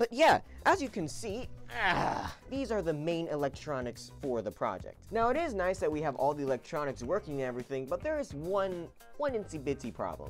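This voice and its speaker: Faint music plays in the background. Over it, a man speaks at a moderate pace. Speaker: maker youtuber. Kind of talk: casual tutorial vlog. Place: home room. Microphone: phone near.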